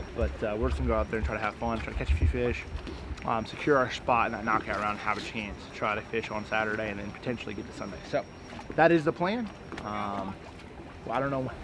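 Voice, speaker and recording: A man talking very fast with lively intonation, dry sound with no echo, and noticeable background noise. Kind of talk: casual vlog chat. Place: boat. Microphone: lapel.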